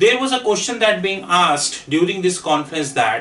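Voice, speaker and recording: Delivery moves at a moderate pace. Intonation rises and falls in a lively way. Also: man. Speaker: finance trainer. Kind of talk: lecture. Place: classroom.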